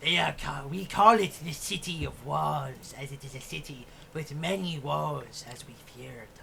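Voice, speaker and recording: This is a put-on character voice at a low-to-middle pitch. It moves at a moderate pace with clear background noise. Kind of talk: fantasy monster voice. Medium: actual play. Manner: grand, formal, slow.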